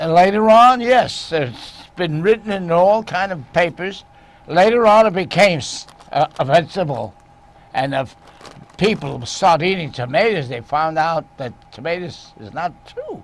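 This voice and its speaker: A man's high pitch and lively intonation at a fairly slow pace through noticeable background noise. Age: 90s. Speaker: TV cooking show host. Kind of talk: casual chat. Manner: halting; animated.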